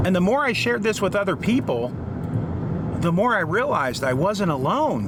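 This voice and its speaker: Amid noticeable background noise, a man speaks at a fairly slow pace with very wide pitch swings. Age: 50s. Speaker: AI literacy advocate. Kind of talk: casual talk to camera.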